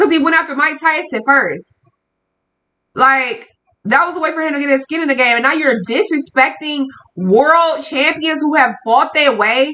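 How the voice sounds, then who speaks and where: A woman's high, bright, sharp voice, raised and projected, animated in tone, with lively intonation at a moderate pace. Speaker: podcast host. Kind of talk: solo podcast monologue.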